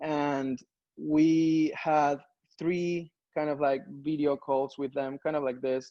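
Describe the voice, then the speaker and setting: A man with a Spanish accent speaks very slowly in a flat monotone. His voice is fairly high in pitch with a dark, mellow tone. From Peru. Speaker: strategy consultant. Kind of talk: conference talk. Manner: hesitant, many fillers.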